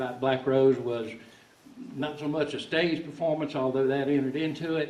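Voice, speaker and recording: In a Southern US accent, a man speaks at a moderate pace with fairly high pitch and fairly even intonation. Audible room echo and noticeable background noise are present. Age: 60s. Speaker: musician telling a story. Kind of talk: storytelling to an audience. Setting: stage in a log concert hall with audience. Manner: halting, with many repeated words.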